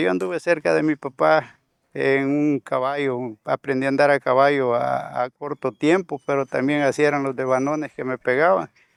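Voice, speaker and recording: Recorded very cleanly against a silent background, a man with a fairly high pitch speaks at a moderate pace in a dry, close sound with no echo. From El Salvador, Suchitoto area. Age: 60s. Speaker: conflict survivor, former soldier, community leader. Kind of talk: testimony. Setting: on location in rural community. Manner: halting, repeats words.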